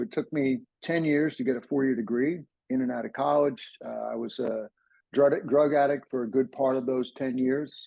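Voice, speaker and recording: A man with an ordinary speaking voice, medium pitch, fairly even intonation and a moderate pace. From US, New Jersey. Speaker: ADHD coach. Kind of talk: interview, personal story. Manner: casual, with frequent repetitions and fillers.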